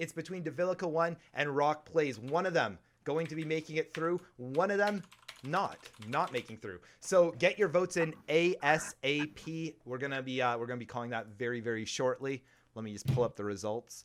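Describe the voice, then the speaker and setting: Speaking at a moderate pace, a man with a fairly high pitch uses lively intonation and an animated tone. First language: not English. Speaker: streamer hosting a game-show podcast. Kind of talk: live stream game show hosting.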